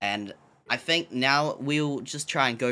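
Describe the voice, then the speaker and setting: A bright, sharp tone in a New Zealand accent, on a very clean recording with a silent background. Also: man. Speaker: podcast co-host. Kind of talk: casual podcast chat. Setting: live-streamed podcast on Twitch.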